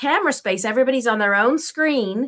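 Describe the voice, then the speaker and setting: A woman's voice with a slight English accent and ordinary pitch variation. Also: very clean recording, silent background. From England. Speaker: parent and teen coach. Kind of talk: interview.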